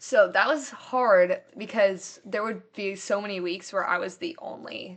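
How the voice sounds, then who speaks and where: A woman with a Midwestern American accent speaks at a very slow pace and medium pitch, with ordinary pitch variation and big swings in loudness. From US Midwest. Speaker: college student. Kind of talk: testimony. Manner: casual, many fillers.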